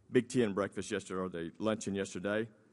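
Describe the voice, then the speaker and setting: This is a man speaking. He has a Texan accent. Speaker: school principal. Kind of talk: campaign speech. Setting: stage with audience.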